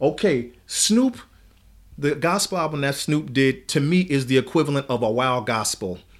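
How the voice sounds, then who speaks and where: Lively in intonation and fairly high in pitch, a man with an ordinary speaking voice talks at a moderate pace in a very clean recording with a silent background. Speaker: church elder. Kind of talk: casual conversational podcast. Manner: gets fired up, preacher-like.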